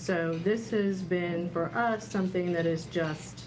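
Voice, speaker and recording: A woman speaks at a very slow pace in a fairly low voice, with ordinary pitch variation. Audible room echo and noticeable background noise surround her. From Miami, Florida. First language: Spanish. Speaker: newspaper publisher. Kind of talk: roundtable discussion. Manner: hesitant, many fillers.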